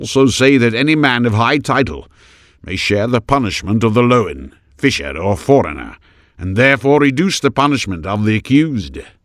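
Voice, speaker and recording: A man puts on a gruff character voice at a medium pitch, with lively intonation and a moderate pace. The recording is very clean, with a silent background. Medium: read story. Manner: defiant, blunt.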